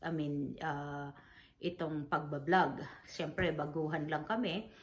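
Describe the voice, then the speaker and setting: A woman's very deep, low voice, monotone and flat, with audible room echo. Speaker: vlogger, grieving mother. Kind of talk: casual vlog talk. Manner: halting, many fillers.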